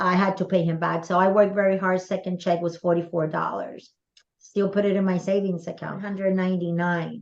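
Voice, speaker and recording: A woman with a medium pitch talks at a fairly quick pace in a monotone, flat intonation. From Puerto Rico. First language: Spanish. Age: 60s. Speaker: direct sales mentor. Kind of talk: interview.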